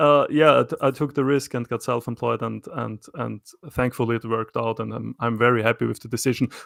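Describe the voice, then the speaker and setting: A man with an Austrian accent at a fairly quick pace, dry and close with no echo. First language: German. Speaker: self-employed knifemaker. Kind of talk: casual interview conversation. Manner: hesitant, many fillers and repetitions.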